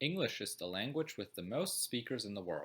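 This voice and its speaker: Speaking with a German accent at a moderate pace, a man makes very wide pitch swings. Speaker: student. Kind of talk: educational narration.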